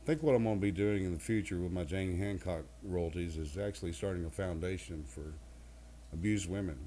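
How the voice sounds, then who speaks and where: Somewhat breathy and dark, mellow in tone, a man's very deep, low voice moves at a fairly quick pace with lively intonation. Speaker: country singer. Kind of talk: interview answer.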